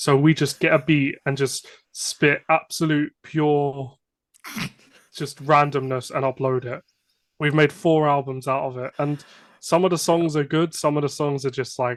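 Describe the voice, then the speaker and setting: A man speaks with a British accent at a fairly slow pace and fairly high pitch. His intonation is monotone and flat, and the sound is dry and close with no echo. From England. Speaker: hip-hop artist. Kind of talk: casual interview.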